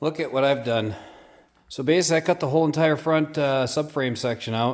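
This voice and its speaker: Ordinary pitch variation in a man's fairly high voice. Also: fairly quick pace. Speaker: car builder. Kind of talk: casual workshop vlog. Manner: casual with fillers.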